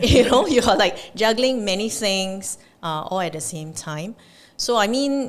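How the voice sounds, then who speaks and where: A woman with an unremarkable speaking voice at a medium pitch speaks with lively intonation and big swings in loudness. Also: fairly slow pace. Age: 50s. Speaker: wealth advisory executive. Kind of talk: podcast interview answer.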